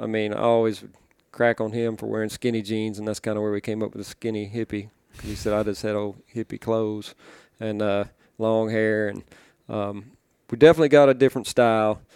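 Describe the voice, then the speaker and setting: With an Arkansas accent, a man speaks at a fairly low pitch in a flat monotone and a fairly quick pace, with a dry, close sound with no echo in a very clean recording over a silent background. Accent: Southern US (Arkansas). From Arkansas, US South. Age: 40s. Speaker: duck call maker. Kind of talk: casual interview.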